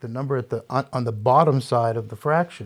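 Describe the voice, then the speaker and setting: At a fairly quick pace, a man talks at a medium pitch in an unremarkable speaking voice. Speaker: gastroenterologist doctor. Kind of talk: medical explanation in panel discussion.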